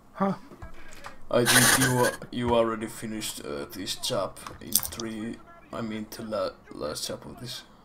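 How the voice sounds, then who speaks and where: Delivered at a fairly slow pace with long, frequent pauses and big swings in loudness, the speech comes over noticeable background noise. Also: man. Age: 30s. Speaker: video game speedrunner. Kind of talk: casual chat. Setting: live stream with voice chat.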